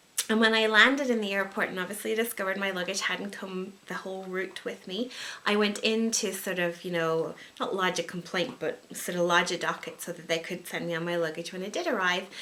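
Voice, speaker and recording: Amid noticeable background noise, a woman with an American accent talks at a fairly quick pace and medium pitch, her pitch varying in an ordinary way. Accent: Irish with some American twang. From Ireland. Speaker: wedding and event planner. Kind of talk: casual talk to camera.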